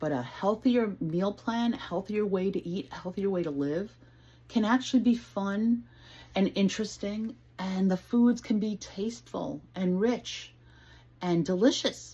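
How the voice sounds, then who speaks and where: A woman's somewhat breathy, medium-pitched voice with a dark, mellow tone, lively intonation and a fairly slow pace. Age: 60s. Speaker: home cook and weight-loss vlogger. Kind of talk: casual talk to camera, cooking demo. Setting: home kitchen. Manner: friendly, conversational, unrehearsed.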